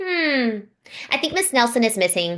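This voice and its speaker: In a put-on character voice, a woman speaks high at a moderate pace with very wide pitch swings. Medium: read story.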